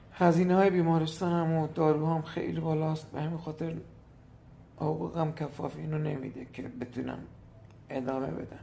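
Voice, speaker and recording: Speaking at a moderate tempo, a man with a rather high pitch and a dark, mellow tone keeps his intonation fairly level. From Iran, Hormozgan province. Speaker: teacher. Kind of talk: appeal for help.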